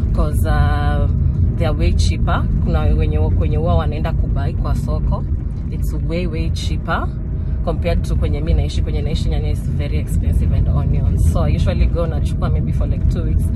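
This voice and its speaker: A woman talks at a moderate pace with ordinary pitch variation. The sound is dry with no echo, though loud background noise is present. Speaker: vlogger. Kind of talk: casual vlog chat. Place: car. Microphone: phone near.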